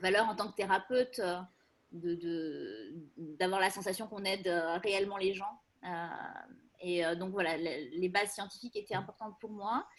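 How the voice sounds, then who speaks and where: This woman talks at a moderate pace in a medium pitch, with ordinary pitch variation. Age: 40s. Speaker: psychologist. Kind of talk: casual presentation. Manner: hesitant, many fillers.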